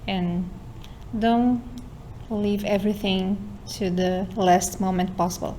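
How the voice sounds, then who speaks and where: A medium-pitched woman with a Portuguese accent, fairly even in intonation, at a very slow pace, with audible room echo. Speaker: university student and lab member.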